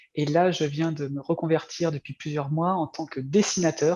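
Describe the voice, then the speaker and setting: The man's intonation stays flat and monotone. His voice sits fairly high for a man. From France. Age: 40s. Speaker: former video game programmer turned comic artist. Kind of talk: interview. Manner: halting, many fillers.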